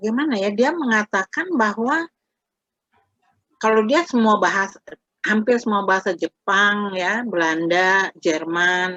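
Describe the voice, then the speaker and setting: A woman speaks at medium pitch with a bright, sharp tone and lively intonation. Her fairly slow delivery has a dry, close sound with no echo. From Indonesia, Jakarta. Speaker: Indonesian language lecturer. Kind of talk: interview.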